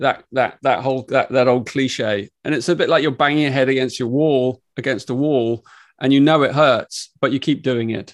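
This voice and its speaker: A man with a medium pitch talks at a moderate pace with fairly even intonation against a quiet background. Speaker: author and spiritual teacher. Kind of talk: interview. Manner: gentle.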